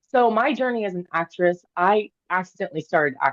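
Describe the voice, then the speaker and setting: A woman with an American accent uses a normal speaking voice at a moderate pace with ordinary pitch variation. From Oklahoma (Tulsa). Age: 30s. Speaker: actress and model. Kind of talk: interview conversation.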